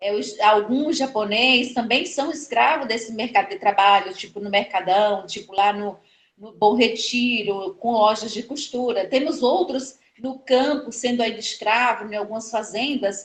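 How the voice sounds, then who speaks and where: A woman with a Pernambuco accent talks at a fairly slow pace with hardly any pauses, her fairly high pitch showing ordinary variation. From Pernambuco, northeast Brazil. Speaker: historian and educator. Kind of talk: interview conversation. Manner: halting, many fillers.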